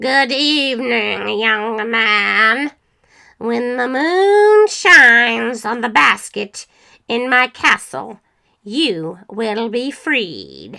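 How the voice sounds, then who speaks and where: A woman's put-on character voice, gruff and fairly high-pitched, with lively intonation, a very slow pace and a very clean recording with a silent background. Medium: read story.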